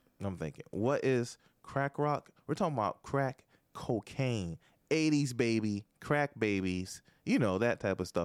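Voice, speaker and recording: A man with a normal speaking voice talks at a fairly slow pace, his pitch medium and his intonation lively. The sound is dry and close, with no echo. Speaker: podcast host. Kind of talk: casual chat. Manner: joking.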